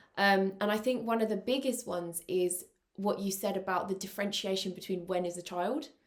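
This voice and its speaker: Her speech is fairly quick, with fairly even intonation at medium pitch. This woman has a normal speaking voice. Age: 20s. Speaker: podcast host. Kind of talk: casual chat.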